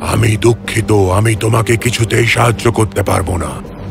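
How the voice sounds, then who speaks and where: Through loud background noise, a man puts on a character voice at a fairly low pitch and a fairly slow pace. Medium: read story.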